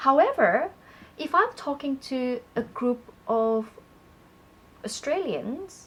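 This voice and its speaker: In a Malaysian accent, a woman speaks very slowly at a high pitch with lively intonation. Her speech has long, frequent pauses. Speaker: public speaking coach. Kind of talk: conversational tutorial.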